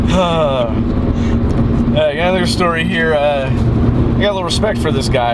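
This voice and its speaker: Loud background noise fills the recording. Over it, a man talks. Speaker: podcast co-host. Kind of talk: casual podcast chat. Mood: amused, laughing. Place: car. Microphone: camera far.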